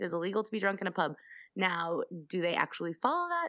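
Here a woman talks at a very fast pace with an American accent. Her pitch sits in the middle range. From US, Colorado (Denver). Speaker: podcaster. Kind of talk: reading researched notes aloud; casual chat.

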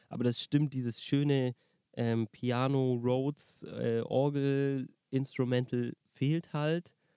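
A dark, mellow voice moves at a very slow pace in a flat monotone, recorded dry and close with no echo. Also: man, medium pitch for a man. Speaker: music podcast co-host and musician. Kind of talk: casual chat. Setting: in a parked car by a lake.

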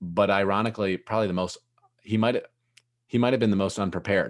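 Against a quiet background, a man speaks in a very deep, low pitch with ordinary pitch variation. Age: 20s. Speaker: entrepreneur and podcast host. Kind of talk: casual interview chat.

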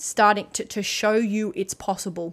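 A woman at a moderate pace in a very clean recording with a silent background. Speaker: life coach and podcast host. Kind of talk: pep talk. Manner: fiery, emphatic, punchy; loud, high-energy, swearing.

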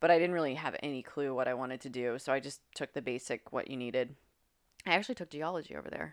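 In an American accent, a woman with a very deep, low pitch talks at a very fast pace with ordinary pitch variation, recorded very cleanly against a silent background. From West Virginia. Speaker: professional Muay Thai fighter. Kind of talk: casual chat.

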